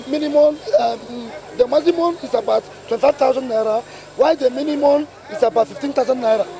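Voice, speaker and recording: A man speaks with a Nigerian accent at an extremely high pitch and a moderate pace, with ordinary pitch variation. The sound is dry with no echo, and there is light background noise. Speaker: transporter. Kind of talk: street interview. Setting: outdoors. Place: street. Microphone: handheld.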